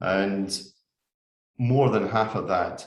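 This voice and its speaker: Someone with a Scottish accent speaks very slowly in a somewhat breathy voice with fairly even intonation, and audible room echo surrounds the voice. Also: man. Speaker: forestry industry speaker. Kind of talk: webinar presentation. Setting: online webinar. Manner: measured, with frequent filler 'uh'.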